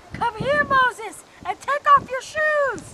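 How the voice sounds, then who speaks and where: In a put-on character voice, the speaker squeaks at an extremely high pitch and a fairly slow pace. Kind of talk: youth retreat comic skit. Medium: stage play. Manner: commanding, exasperated.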